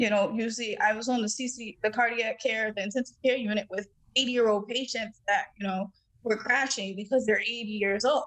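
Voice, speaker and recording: With an ordinary speaking voice, a woman talks at a fairly high pitch. Her pace is fairly quick and her intonation fairly even. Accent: American. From Massachusetts, Dorchester (Boston). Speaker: cardiomyopathy survivor, podcast guest. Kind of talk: testimony.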